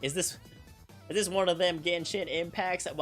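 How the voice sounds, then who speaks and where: A man's put-on character voice, high in pitch and drawling, with monotone, flat intonation at a moderate pace, over clear music in the background. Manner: folksy drawl with stretched vowels.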